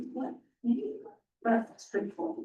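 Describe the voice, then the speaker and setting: The voice belongs to a woman. It sits high in pitch. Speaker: committee chair. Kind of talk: public meeting discussion. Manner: loud; slow.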